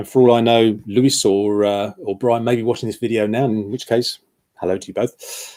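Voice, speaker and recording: A man with a British accent speaks in a dark, mellow tone at medium pitch. His intonation is fairly even. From UK. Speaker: football shirt blogger. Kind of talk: live stream chat. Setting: live stream. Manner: hesitant, many fillers.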